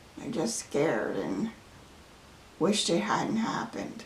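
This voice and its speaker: A woman speaks very slowly at a medium pitch with very wide pitch swings. Noticeable background noise sits behind her. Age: 80s+. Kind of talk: interview answer.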